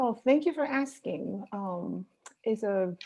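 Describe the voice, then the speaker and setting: A woman with a Spanish accent speaks in a dark, mellow tone. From Dominican Republic, Santiago (Cibao region). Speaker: professor. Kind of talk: interview. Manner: halting, many fillers.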